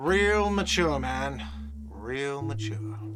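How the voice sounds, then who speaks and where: Putting on a whiny character voice, a man speaks at a fairly low pitch over clear background noise. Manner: whiny, sarcastic.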